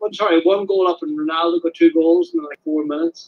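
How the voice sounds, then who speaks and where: A man with an Irish accent talks at a fairly quick pace. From Ireland, Donegal. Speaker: caller. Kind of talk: casual chat. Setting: phone call.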